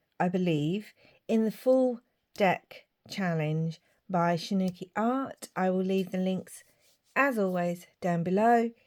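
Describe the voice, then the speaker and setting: Speaking at a very slow pace with a British accent, a woman shows ordinary pitch variation on a very clean recording with a silent background. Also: medium pitch for a woman. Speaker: craft youtuber. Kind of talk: craft tutorial.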